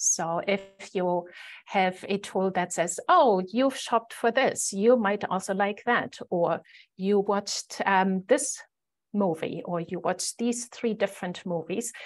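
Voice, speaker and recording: Speaking at a fairly slow pace with a German accent, a woman uses a medium pitch and ordinary pitch variation against a quiet background. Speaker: conference presenter. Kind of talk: conference presentation. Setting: video call. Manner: frequent fillers, um and uh.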